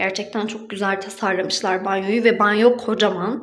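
The woman's pace is moderate. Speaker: vlogger. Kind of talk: casual vlog chat, room tour. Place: bathroom. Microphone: phone near.

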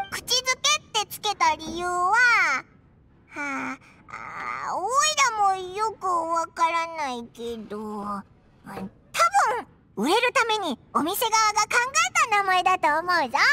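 An extremely high, put-on character voice. It moves at a fairly slow pace. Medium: video game. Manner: chatty, excitable.

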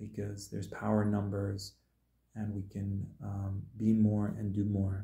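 With a dark, mellow tone and a somewhat breathy quality, a man speaks at a fairly low pitch in a monotone, flat intonation, with audible room echo. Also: quiet background. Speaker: spiritual healer and musician; video blogger. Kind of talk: solo livestream monologue. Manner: casual, hesitant with fillers. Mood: earnest, emotionally raw. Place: home room. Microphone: phone near.

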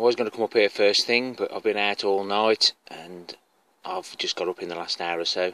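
The sound is dry with no echo. A man speaks with a fairly low pitch. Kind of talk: casual vlog chat. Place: garden. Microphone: phone near.

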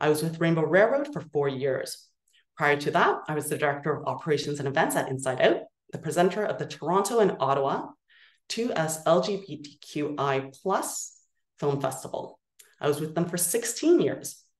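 A woman speaks at a moderate pace with a very deep, low pitch and ordinary pitch variation, her voice carrying audible room echo over a quiet background. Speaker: nonprofit executive director. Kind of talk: virtual meeting presentation. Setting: video call. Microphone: video call.

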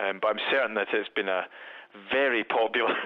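A man speaks at a moderate pace. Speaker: museum curator, Egyptologist. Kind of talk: interview. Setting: phone call. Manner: hesitant, repeats words.

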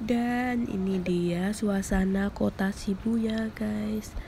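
With vocal fry and fairly even intonation, a woman speaks at a very slow pace in a medium pitch.

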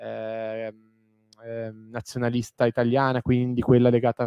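A man at a fairly slow pace with monotone, flat intonation, in a dry sound with no echo against a quiet background. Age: 30s. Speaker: historian, author. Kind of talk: lecture; Q&A answers. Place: hall.

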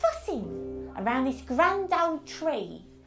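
A put-on character voice, female-sounding, at a fairly slow pace. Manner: soothing, gentle, motherly.

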